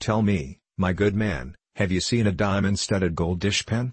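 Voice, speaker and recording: Putting on a character voice, a man speaks in a raspy, croaky, fairly low voice with ordinary pitch variation and very even loudness. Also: moderate pace. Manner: haughty.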